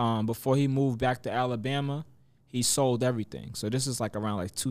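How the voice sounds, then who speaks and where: A man speaking at a fairly quick pace with fairly even intonation. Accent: New York. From New York (Mount Vernon, Westchester). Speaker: rapper. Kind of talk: casual interview.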